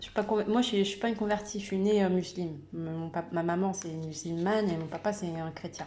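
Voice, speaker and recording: Over noticeable background noise, a woman talks at a moderate pace with fairly even intonation. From Madagascar, Comoros and Réunion, raised in France. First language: Malagasy (speaking French). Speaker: YouTuber sharing personal faith story. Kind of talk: personal testimony. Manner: halting, many hesitations and repetitions.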